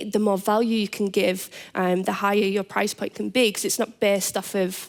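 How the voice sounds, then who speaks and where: A woman with a Teesside accent at a medium pitch and fairly quick pace. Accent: northeast England (Teesside). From northeast England, Middlesbrough. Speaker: business founder, panelist. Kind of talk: panel discussion. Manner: halting, many repeated words.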